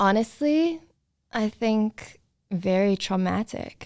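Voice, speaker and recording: In a very clean recording with a silent background, a woman talks at a very slow pace in a South African accent. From South Africa, Cape Town. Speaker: model, photographer and actress. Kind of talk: casual interview chat.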